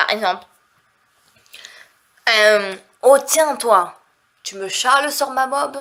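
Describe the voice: The voice is nasal, with a bright, sharp tone. It moves at a slow pace with ordinary pitch variation. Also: woman, fairly high pitch for a woman.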